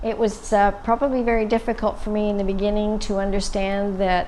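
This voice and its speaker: Audible room echo hangs around a woman's voice. She speaks at a fairly quick pace. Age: 60s. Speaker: breast cancer survivor. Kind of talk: testimony.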